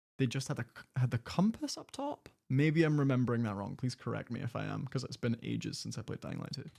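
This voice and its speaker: A man's dark, mellow, somewhat breathy voice in a Scottish accent, at a very fast pace. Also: medium pitch for a man, ordinary pitch variation. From Scotland. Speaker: gaming YouTuber. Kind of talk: live stream reaction commentary. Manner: casual, conversational.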